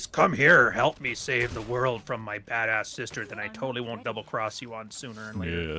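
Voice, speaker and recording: A man puts on a gravelly character voice at a medium pitch, moving at a fairly quick pace with hardly any pauses. Background noise is clearly audible. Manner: evil, scheming.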